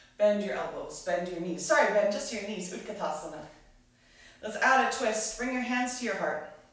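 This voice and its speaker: A woman speaks amid strong room echo. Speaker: yoga instructor. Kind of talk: guided yoga class, live online. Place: home room.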